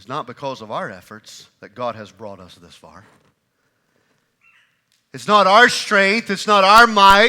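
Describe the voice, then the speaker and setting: At a fairly slow pace, a man speaks with a high pitch and a bright, sharp tone. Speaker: pastor. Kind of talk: sermon preached to a congregation. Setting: church.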